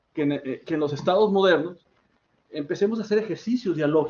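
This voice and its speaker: This man has a Mexican accent and a high pitch. He talks at a fairly quick pace. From Mexico. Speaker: academic speaker, political scientist. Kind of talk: academic workshop talk. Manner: fast; halting, self-correcting.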